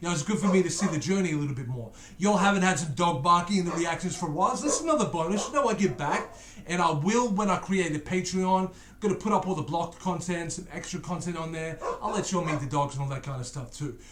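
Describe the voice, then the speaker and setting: Over noticeable background noise and audible room echo, a man with a high voice talks at a very fast pace with ordinary pitch variation. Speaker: YouTube reaction channel host. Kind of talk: casual reaction commentary. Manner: slurring words.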